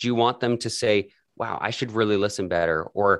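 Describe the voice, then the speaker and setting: Over a quiet background, a man with a fairly low pitch uses an unremarkable speaking voice and fairly even intonation. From Canada, Calgary. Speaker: podcaster and editor. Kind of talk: interview.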